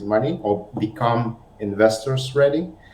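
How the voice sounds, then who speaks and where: Audible room echo colors the voice of a man speaking. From Lithuania. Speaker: marketing consultant. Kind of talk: self-introduction on webinar.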